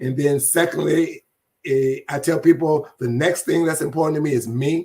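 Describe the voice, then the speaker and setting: This man's voice is fairly high and somewhat breathy. He talks at a moderate pace with fairly even intonation. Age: 70s. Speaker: community event organizer. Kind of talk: interview.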